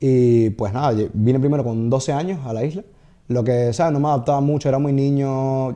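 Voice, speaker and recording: A man speaks at a medium pitch with a dark, mellow tone. His pitch varies in an ordinary way against a quiet background. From Venezuela, Caracas. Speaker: comedian and TikToker. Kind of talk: casual chat interview. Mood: calm, reflective. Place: studio. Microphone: studio mic.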